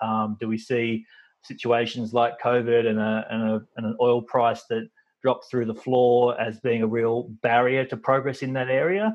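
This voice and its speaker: A man with an Australian accent talks at a moderate pace and medium pitch. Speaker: podcast host. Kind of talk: interview conversation.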